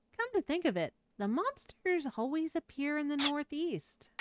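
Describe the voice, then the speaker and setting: A woman's put-on character voice, high-pitched with very wide swings, at a moderate pace in a dry, close sound with no echo. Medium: virtual streamer. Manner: anxious, explaining.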